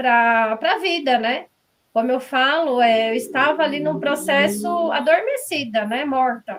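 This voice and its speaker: Her pitch high and its variation ordinary, a woman talks at a fairly slow pace. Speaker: author. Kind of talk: interview. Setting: live stream.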